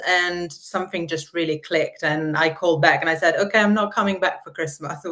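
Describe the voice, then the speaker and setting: In an Italian accent, a woman speaks at a fairly low pitch with fairly even intonation. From Italy. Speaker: marketer. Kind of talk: podcast interview.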